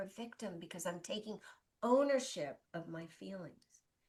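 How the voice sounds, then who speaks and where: A woman speaks at a fairly slow pace with very wide pitch swings. Her voice is somewhat breathy. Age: 60s. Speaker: life coach. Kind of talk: interview. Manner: animated.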